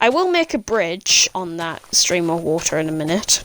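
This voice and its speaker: In a British accent, a woman speaks at a fairly slow pace. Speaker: gaming YouTuber. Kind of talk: gameplay voiceover commentary. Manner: casual, with hesitations.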